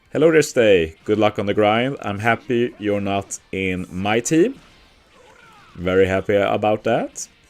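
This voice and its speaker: With music playing behind him, a man with a Swedish accent speaks fairly slowly at a fairly low pitch, his pitch varying in an ordinary way. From Sweden. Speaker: gaming streamer. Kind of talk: casual live-stream chat. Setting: live stream at workplace.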